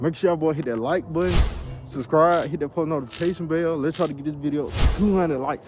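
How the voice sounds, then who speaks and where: This man talks at a very fast pace with a fairly high pitch and ordinary pitch variation. Music plays in the background. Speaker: YouTuber, car content creator. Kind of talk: comedic skit vlog. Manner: loud; animated.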